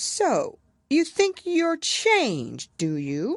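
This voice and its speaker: A put-on character voice at an extremely high pitch and a very slow pace. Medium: read story. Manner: curt, contemptuous.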